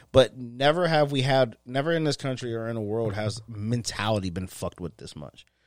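Speaking fairly quickly with hardly any pauses, a man with an American accent has an unremarkable speaking voice at medium pitch and lively intonation, on a very clean recording with a silent background. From western Pennsylvania, north of Pittsburgh. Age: 30s. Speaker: podcast co-host. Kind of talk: casual chat.

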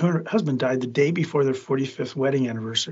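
Somewhat breathy, a man at a medium pitch moves at a fairly quick pace with ordinary pitch variation. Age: 60s. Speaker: food safety attorney. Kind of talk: casual interview.

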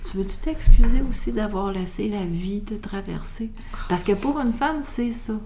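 A woman speaks fairly slowly at a fairly high pitch, with ordinary pitch variation and big swings in loudness. Her voice carries audible room echo over noticeable background noise. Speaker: midwife. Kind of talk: interview conversation.

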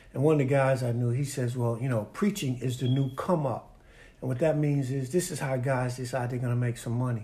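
A man speaks fairly quickly in a somewhat breathy, dark, mellow tone, his medium pitch held in fairly even intonation. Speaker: pastor. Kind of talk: sermon-like interview.

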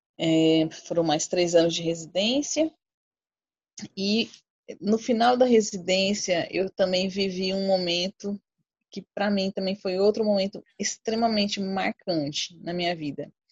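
A woman talks at a fairly slow pace in a normal speaking voice. Her pitch is medium, with ordinary pitch variation. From Brazil, Cuiabá, Mato Grosso. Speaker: infectious disease doctor. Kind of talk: casual chat.

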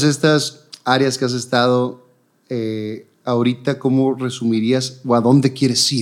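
Very slowly, a man talks in a medium-pitched voice with monotone, flat intonation. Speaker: TV presenter, interview host. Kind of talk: casual interview.

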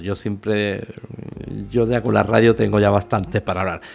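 Vocal fry runs through the fairly low voice of a man speaking at a moderate pace. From Spain. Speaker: radio host. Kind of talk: casual chat.

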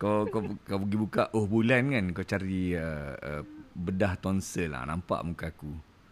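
In a very deep, low pitch with ordinary pitch variation, a man talks at a fairly slow pace. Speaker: podcast host. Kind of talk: casual chat. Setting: live audio chat room.

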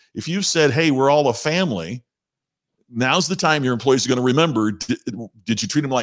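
With a Midwestern American accent, a man talks at a very fast pace and medium pitch, his intonation lively, the sound dry and close with no echo. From southern Indiana. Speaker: professional speaker. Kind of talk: casual chat. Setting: video call.

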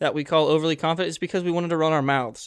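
A man with a fairly high pitch talks over a quiet background. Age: young. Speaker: college student podcast co-host. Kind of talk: casual chat.

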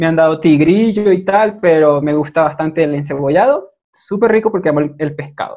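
Hardly pausing at all, a man talks at a fairly quick pace in a fairly high pitch with ordinary pitch variation. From Venezuela, Maracaibo. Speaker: guest, video creator. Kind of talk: casual chat.

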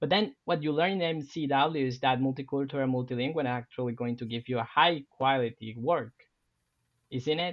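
A man speaks at a moderate pace with a Spanish accent. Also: medium pitch for a man, ordinary pitch variation. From Colombia, Cartagena (Caribbean coast). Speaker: university professor. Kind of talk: podcast interview.

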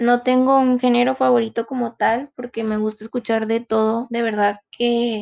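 Woman with monotone, flat intonation, moderate pace, hardly any pauses, quiet background. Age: 20s. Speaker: university student. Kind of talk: self-introduction monologue.

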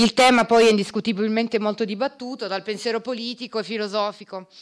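At a fairly quick pace, a woman with an unremarkable speaking voice talks at a fairly high pitch. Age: 40s. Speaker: lawyer and party activist. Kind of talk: project presentation.

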